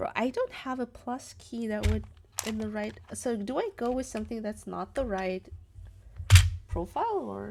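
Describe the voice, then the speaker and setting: A woman talks at a moderate pace with a non-native accent. Music plays in the background. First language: not English. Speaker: keyboard streamer. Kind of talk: live stream, casual chat. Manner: casual, hesitant with fillers.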